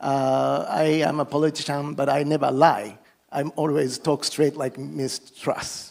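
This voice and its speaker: This man speaks fairly slowly in a fairly high pitch. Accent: Japanese. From Japan. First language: Japanese. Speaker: politician. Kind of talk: panel remarks. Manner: halting.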